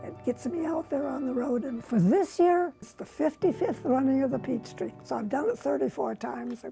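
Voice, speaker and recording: Over music in the background, a woman with an American accent talks at a moderate pace, with big swings in loudness. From US Upper Midwest, northwestern Minnesota. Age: 90s. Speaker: senior runner. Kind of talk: casual interview.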